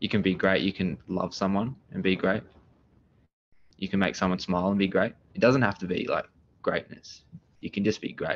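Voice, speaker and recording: With an Australian accent, a man talks in a fairly low voice at a moderate pace, taking long, frequent pauses against a quiet background. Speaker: renovation business owner. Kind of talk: podcast interview. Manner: loud; energetic.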